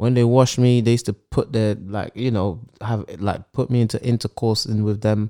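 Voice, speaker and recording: A voice with a London accent and a dark, mellow tone moves at a moderate pace. The sound is dry and close with no echo, a very clean recording with a silent background. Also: man. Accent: London multicultural English. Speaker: podcast co-host. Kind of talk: casual banter chat. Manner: animated, bantering.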